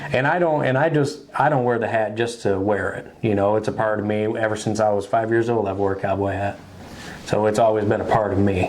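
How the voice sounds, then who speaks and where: In a room with audible echo and noticeable background noise, a man with an American accent talks fairly quickly in a fairly low pitch. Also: ordinary pitch variation. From Michigan. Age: 20s. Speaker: country singer. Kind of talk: interview. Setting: industry convention. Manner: casual.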